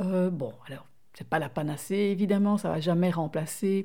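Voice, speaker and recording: At a fairly slow pace, a woman speaks in a dark, mellow tone on a very clean recording with a silent background. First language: not French (speaking French). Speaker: podcast co-host. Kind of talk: casual chat.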